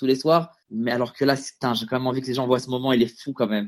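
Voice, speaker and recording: A man's medium-pitched voice at a very fast pace. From France, Stains (Paris suburbs). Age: 30s. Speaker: comedian. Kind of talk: casual interview. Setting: Skype call.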